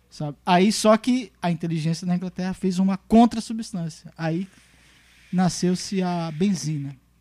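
A high-pitched male voice with a dark, mellow tone, fairly slow, with ordinary pitch variation, in a dry, close recording with no echo. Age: 40s. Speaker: musician. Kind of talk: casual chat.

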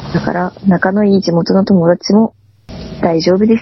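A woman's medium-pitched voice with monotone, flat intonation at a fairly slow pace. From Tohoku, Aomori Prefecture. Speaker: podcast co-host. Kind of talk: casual chat.

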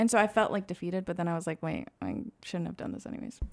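This is an ordinary speaking voice with ordinary pitch variation, moving at a fairly quick pace. The recording is very clean, with a silent background. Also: woman. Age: 20s. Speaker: student podcast host. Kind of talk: casual chat.

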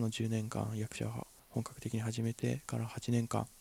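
A man talks at a moderate speed, his medium-pitched voice somewhat breathy with a dark, mellow tone. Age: 20s. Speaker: actor and podcast host. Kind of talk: solo casual talk. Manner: halting, many fillers.

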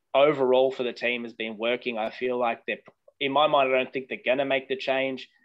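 With an Australian accent, a man speaks at a moderate pace and medium pitch with fairly even intonation. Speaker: football podcast co-host. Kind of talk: casual chat.

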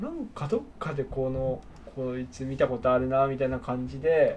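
A man keeps his intonation fairly even as noticeable noise fills the background. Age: 30s. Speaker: podcast co-host. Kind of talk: casual chat.

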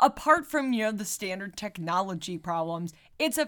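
On a very clean recording with a silent background, a woman at a medium pitch speaks with very wide pitch swings. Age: 30s. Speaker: podcast co-host. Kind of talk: casual chat.

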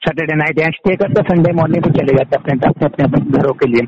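A man speaks in an ordinary speaking voice. His pitch sits fairly high. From Uttarakhand, Pauri Garhwal. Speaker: entrepreneur. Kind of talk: interview.

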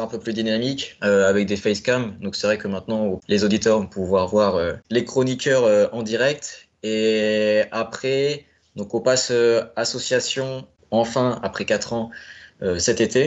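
This man's pitch variation is ordinary. His voice sits at a medium pitch. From Normandy, France (Caen). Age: 20s. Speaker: football fan, supporter-group founder. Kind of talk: casual chat. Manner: hesitant, many fillers.

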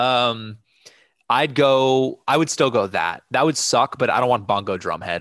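Using a normal speaking voice, a man talks at a fairly slow pace and medium pitch with ordinary pitch variation. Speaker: podcast co-host. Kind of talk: casual chat.

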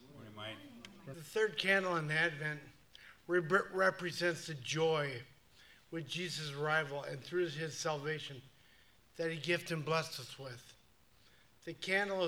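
Here a man with a bright, sharp tone speaks with big swings in loudness and long, frequent pauses. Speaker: worship leader. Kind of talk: devotional reading. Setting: church.

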